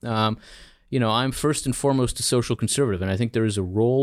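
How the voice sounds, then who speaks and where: A man's medium-pitched voice in a Mid-Atlantic accent, with ordinary pitch variation, in a very clean recording with a silent background. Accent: American, Mid-Atlantic. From US Northeast (Philadelphia, New Jersey), born in Israel. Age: 40s. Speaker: think tank scholar. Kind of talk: interview. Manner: halting, repeated words.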